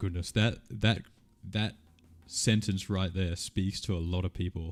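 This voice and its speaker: A man with an Australian accent, very deep and low in pitch, animated in tone, at a fairly slow pace, with music in the background. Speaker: streamer answering viewer questions. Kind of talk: live stream Q&A, casual chat. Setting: live stream. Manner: casual, animated.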